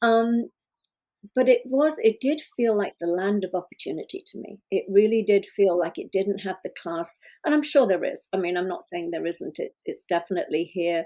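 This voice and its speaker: A woman with a British accent at medium pitch, lively intonation, a dark, mellow tone, big swings in loudness, quiet background. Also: moderate pace. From UK. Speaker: relationship coach and podcast co-host. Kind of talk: casual podcast conversation.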